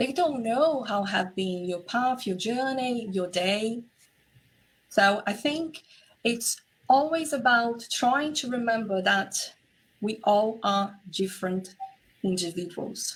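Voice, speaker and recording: Pausing long and often, a woman speaks at a very slow pace in a somewhat breathy, fairly high voice with lively intonation. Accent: Portuguese. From Brazil. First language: Portuguese. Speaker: relationship and intimacy coach. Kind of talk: interview conversation.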